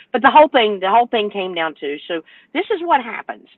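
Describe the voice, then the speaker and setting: In a Southern US accent, a woman talks at a fairly quick pace in an animated tone, with very wide pitch swings. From North Carolina. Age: 60s. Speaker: owner-operator truck driver. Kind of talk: panel discussion.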